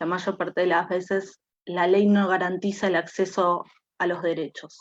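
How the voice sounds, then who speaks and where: This woman's voice sits at a medium pitch. Her intonation is monotone and flat. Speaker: feminist activist. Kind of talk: panel talk. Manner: many filler sounds.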